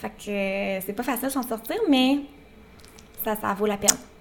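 A woman of medium pitch with fairly even intonation, over noticeable background noise. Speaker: nutritionist and podcast co-host. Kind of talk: casual chat.

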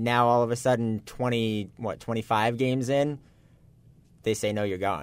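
Here a man talks in a plain, everyday voice at medium pitch. His intonation stays fairly even at a moderate pace. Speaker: sports co-host. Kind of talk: casual sports talk analysis.

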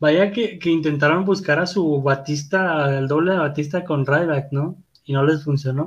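A somewhat breathy man speaks slowly, his fairly high pitch carried in fairly even intonation. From Guadalupe, Nuevo León, Mexico. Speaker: wrestling podcast co-host. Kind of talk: casual chat.

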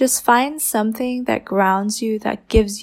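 An American accent is heard. The speech moves at a moderate pace. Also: woman. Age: 20s. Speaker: mindset coach and podcast host. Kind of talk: casual solo podcast monologue.

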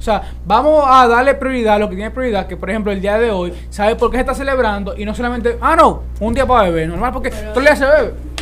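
Very fast speech over noticeable background noise. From Dominican Republic. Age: young. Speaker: podcast host. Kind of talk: casual chat.

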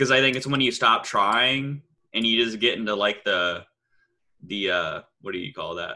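A man speaks at a medium pitch and a moderate pace. He has a normal speaking voice with ordinary pitch variation. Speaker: podcaster. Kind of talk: casual chat. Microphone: too quiet.

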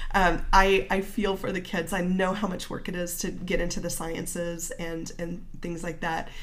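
In a Midwestern American accent, the speaker talks with monotone, flat intonation and hardly any pauses, with audible room echo. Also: woman, fairly low pitch for a woman, moderate pace. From small-town Illinois. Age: 40s. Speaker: marketing business owner and writer. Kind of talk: casual interview.

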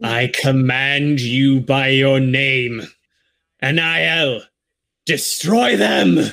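A resonant, put-on character voice at a very slow pace, with ordinary pitch variation and long, frequent pauses. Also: man, medium pitch for a man. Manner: commanding.

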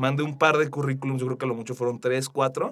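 Music plays behind a man whose medium-pitched delivery keeps a fairly even intonation. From Mexico, Aguascalientes. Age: 20s. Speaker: digital marketing specialist. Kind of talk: interview. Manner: halting, many fillers.

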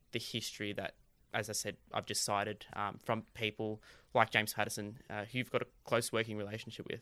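This Australian-accented man has a bright, sharp tone. The recording is very clean and the background silent. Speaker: podcast host. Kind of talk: interview.

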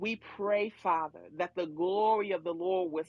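Background music accompanies speech delivered at a middling tempo. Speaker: prayer leader. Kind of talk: fervent intercessory prayer. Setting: online prayer room. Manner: impassioned, rhythmic, pleading, with repeated 'O oh God'.

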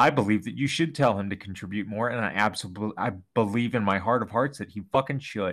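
Very fast, fairly low-pitched male voice with ordinary pitch variation, very clean recording and silent background. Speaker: podcast host. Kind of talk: casual comedic chat. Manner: rambling, filler-heavy, casual.

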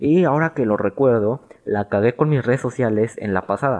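At a moderate pace, a man talks with ordinary pitch variation in a dry, close sound with no echo and a quiet background. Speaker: podcast host. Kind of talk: casual solo podcast monologue. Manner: halting, stumbling over words.

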